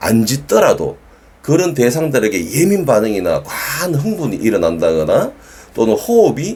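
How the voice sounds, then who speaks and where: A man with a Gyeongsang accent talks at a moderate pace. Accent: Gyeongsang dialect, sounds somewhat stiff. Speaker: dog trainer. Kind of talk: educational talk to camera. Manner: firm, emphatic.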